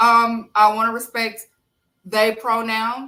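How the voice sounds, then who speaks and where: A woman with a Southern US accent. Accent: country, Southern US. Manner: casual, conversational.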